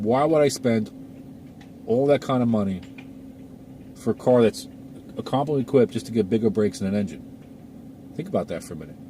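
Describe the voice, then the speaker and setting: A man at a very fast pace and medium pitch, with lively intonation, big swings in loudness, long, frequent pauses and noticeable background noise. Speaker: car enthusiast YouTuber. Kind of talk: casual vlog talk. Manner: conversational, repetitive fillers.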